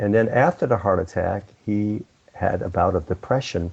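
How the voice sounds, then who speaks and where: A somewhat breathy male voice at a moderate pace. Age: 70s. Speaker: entrepreneur and business consultant. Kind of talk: interview. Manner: halting, many fillers and restarts.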